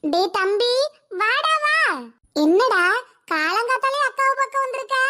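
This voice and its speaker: A woman does a cartoonish character voice, squeaky and extremely high-pitched. Her pitch swings very widely while she talks fairly slowly. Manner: warm, chatty.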